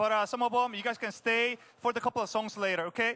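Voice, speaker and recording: Projecting loudly, a man speaks with an extremely high pitch and a bright, sharp tone. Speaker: pastor. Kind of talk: short sermon and closing prayer. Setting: church.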